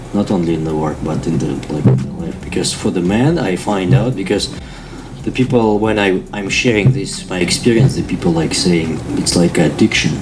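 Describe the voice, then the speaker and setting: A man with a non-native accent speaks at a very deep, low pitch and a moderate pace, with lively intonation. Audible room echo and noticeable background noise surround him. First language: not English. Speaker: contracting business owner. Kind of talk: casual interview chat.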